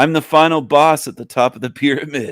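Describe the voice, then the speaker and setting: A man puts on a raspy character voice, pitched fairly high, and talks at a fairly quick pace. The recording is very clean, with a silent background. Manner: boastful, playful.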